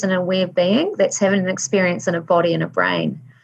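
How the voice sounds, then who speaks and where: With a somewhat breathy quality, the woman's voice rests at a medium pitch. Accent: New Zealand. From New Zealand (Waikato). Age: 50s. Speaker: life coach, former school teacher. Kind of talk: interview conversation.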